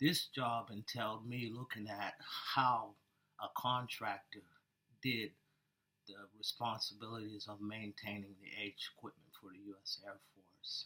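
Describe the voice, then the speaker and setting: Speaking at a fairly slow pace with an American accent, a man shows big swings in loudness and long, frequent pauses. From Pennsylvania, West Mifflin (Pittsburgh area). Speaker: air force veteran, job candidate. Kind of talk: job interview. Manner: soft-spoken.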